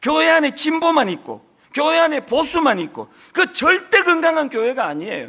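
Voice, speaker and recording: A man in a strong Gyeongsang accent, extremely high-pitched, bright and sharp in tone, with lively intonation, a moderate pace and a raised, projected voice. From Gyeongsang Province, South Korea. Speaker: senior pastor. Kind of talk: sermon.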